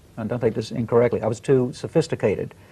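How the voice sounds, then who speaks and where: This man has a dark, mellow tone and a medium pitch, with an American accent. His intonation stays fairly even. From Australia. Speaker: singer and record producer. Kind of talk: TV interview. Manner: halting.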